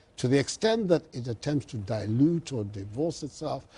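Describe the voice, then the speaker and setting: A man speaks at a moderate pace at a medium pitch. His tone is dark and mellow and somewhat breathy. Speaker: politician. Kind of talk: TV interview answer.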